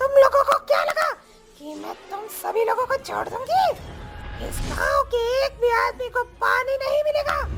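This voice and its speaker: Faint music plays behind a cartoonish character voice pitched extremely high, delivered at a moderate pace. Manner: menacing.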